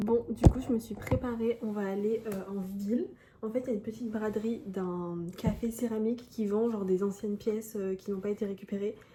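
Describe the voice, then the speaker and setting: At a fairly high pitch and a fairly quick pace, a woman speaks with fairly even intonation over noticeable background noise. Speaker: lifestyle vlogger. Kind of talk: casual vlog talk. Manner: soft-spoken.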